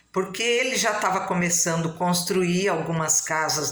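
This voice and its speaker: A woman talks at a medium pitch. Noticeable background noise and audible room echo fill the recording. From Brazil, São Paulo coast (São Sebastião, caiçara). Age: 60s. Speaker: local historian, family storyteller. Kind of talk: casual talk to camera about local history.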